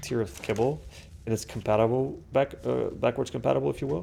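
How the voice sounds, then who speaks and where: A man talks at a fairly quick pace in a medium pitch with vocal fry. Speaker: gaming commentator. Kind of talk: casual gameplay commentary. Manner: halting, many fillers and restarts.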